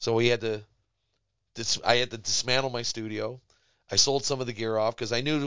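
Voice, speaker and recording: A man with an American accent talks in a normal speaking voice at medium pitch, fairly quickly and with fairly even intonation. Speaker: musician. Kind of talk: casual interview. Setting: studio.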